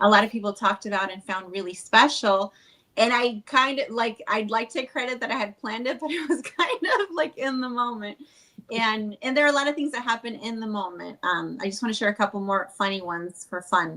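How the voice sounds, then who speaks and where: The speaker is a woman with a fairly high pitch and a bright, sharp tone. She moves at a fairly quick pace with ordinary pitch variation. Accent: Spanish. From Chile. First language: Spanish. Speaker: wedding officiant. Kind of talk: podcast interview. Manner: casual, filler-heavy.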